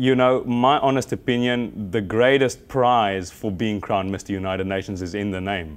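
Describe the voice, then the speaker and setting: A man speaks with a South African accent at a fairly low pitch. His pitch variation is ordinary. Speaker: pageant contestant and fitness model. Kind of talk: TV interview. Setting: live TV studio. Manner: halting, many fillers and repetitions.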